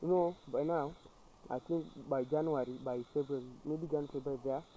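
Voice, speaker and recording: A man speaks with a fairly high pitch. His tone is dark and mellow, with fairly even intonation. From Kenya. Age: 20s. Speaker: YouTuber. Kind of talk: casual chat. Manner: halting.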